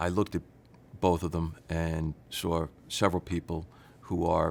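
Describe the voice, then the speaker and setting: The speaker has a New York accent. The recording is very clean, with a silent background. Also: man. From New York City. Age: 60s. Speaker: patient giving testimonial. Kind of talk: testimony.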